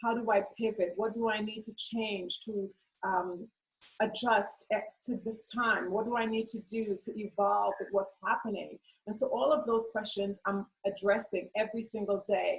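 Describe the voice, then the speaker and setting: Fairly high-pitched and somewhat breathy, a woman speaks with a Trinidadian accent. Her intonation stays monotone and flat. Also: moderate pace. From Trinidad and Tobago. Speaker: beauty business owner. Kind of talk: interview.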